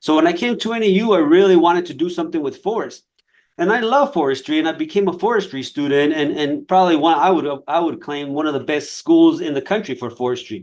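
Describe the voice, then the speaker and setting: Against a quiet background, a man with a Spanish accent talks very fast at a high pitch with lively intonation. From Nogales, Mexico/Arizona border. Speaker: fire scientist. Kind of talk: career talk on a webinar. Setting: online webinar. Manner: halting, many repetitions and fillers.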